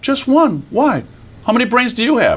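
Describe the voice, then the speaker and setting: The pitch is fairly high. It comes from a put-on character voice. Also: moderate pace. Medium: solo performance.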